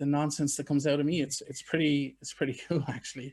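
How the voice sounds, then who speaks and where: In a very clean recording with a silent background, a man speaks at a fairly high pitch. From Ireland, Wexford. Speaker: TikTok creator, recovering addict. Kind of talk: podcast interview. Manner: conversational, with fillers.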